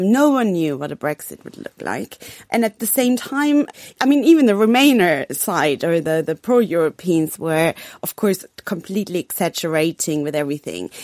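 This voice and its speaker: Spoken in a German accent, the voice makes very wide pitch swings and big swings in loudness, captured in a very clean recording with a silent background and a dry, close sound with no echo. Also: woman, fairly low pitch for a woman, moderate pace. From Germany. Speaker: foreign correspondent. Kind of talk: radio panel discussion.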